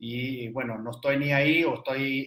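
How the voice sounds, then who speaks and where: A man speaks with an Argentine accent. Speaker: energy business consultant. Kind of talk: interview. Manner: halting.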